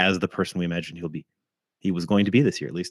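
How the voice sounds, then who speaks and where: A man's very deep, low voice with fairly even intonation, dry and close with no echo, on a very clean recording with a silent background. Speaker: fantasy football podcast host. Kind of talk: solo podcast recap. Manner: casual, with fillers.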